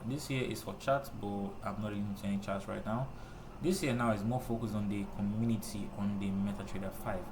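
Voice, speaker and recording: Over noticeable background noise and audible room echo, a man talks at a fairly quick pace with a fairly low pitch and ordinary pitch variation. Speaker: trading tutorial youtuber. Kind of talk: screen-recorded tutorial. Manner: fast; casual, with many fillers like uh and okay.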